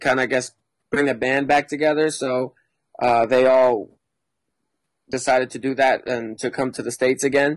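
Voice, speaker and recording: A man with an American accent speaks at medium pitch. His intonation is monotone and flat. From Mexico and US circus life. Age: 20s. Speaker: circus performer. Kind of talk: casual chat.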